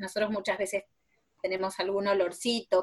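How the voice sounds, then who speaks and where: A woman's voice at a medium pitch. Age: 40s. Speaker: preschool teacher. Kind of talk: casual interview chat.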